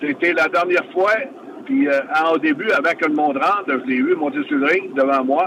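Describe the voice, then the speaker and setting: A high-pitched male voice with very wide pitch swings, very even loudness and a moderate pace, over noticeable background noise. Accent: Quebec. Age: 60s. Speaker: retired professional wrestler. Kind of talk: interview. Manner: halting.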